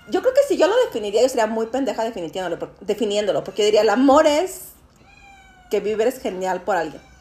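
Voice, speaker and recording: A woman speaks at a fairly quick pace with a fairly high pitch and lively intonation, over noticeable background noise. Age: 40s. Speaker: podcast host. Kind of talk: casual chat. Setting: dinner at a friend's home.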